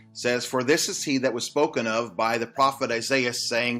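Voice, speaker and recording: Fairly even intonation with music in the background. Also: man. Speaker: Baptist pastor. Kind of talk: short Bible study devotional.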